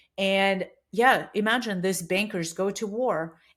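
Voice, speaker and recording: A woman with a Russian accent speaks at a medium pitch in a very clean recording with a silent background. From Russia (Siberia). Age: 40s. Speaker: bike shop owner. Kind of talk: interview conversation.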